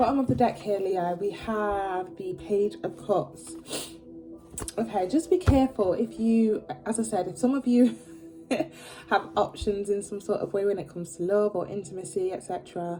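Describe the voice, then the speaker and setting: Over music in the background, a woman speaks at a medium pitch and a moderate pace with ordinary pitch variation. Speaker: tarot reader. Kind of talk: tarot reading. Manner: casual, filler-heavy; stumbling over words.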